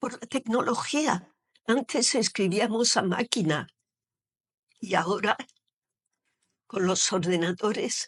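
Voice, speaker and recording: A somewhat breathy voice at a very slow pace, with ordinary pitch variation, long, frequent pauses and a dry, close sound with no echo. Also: woman, fairly high pitch for a woman. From Algeria, Oran. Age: 70s. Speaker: poet, retired teacher. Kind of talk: interview. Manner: hesitant, with fillers.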